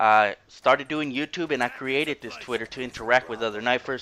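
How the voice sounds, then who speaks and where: Speaking with an American accent, a man talks at a fairly quick pace in a bright, sharp tone with fairly even intonation, the sound dry and close with no echo. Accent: strong Mexican-sounding. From Houston, Texas. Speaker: gaming YouTuber. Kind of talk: gameplay commentary.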